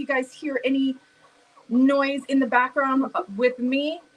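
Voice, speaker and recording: A loud voice with an American accent comes through over noticeable background noise. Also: woman. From US Midwest, St. Louis. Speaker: live stream host. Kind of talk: casual chat.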